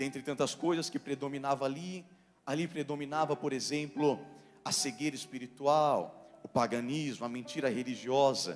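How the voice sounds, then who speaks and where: A man's voice with ordinary pitch variation over faint music in the background. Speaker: preacher. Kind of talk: sermon. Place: church. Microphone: handheld.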